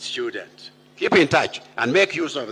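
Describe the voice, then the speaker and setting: A man's high-pitched, raised and projected voice. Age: 80s+. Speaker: university speaker, senior academic. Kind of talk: commencement speech. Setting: graduation ceremony with audience. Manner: formal.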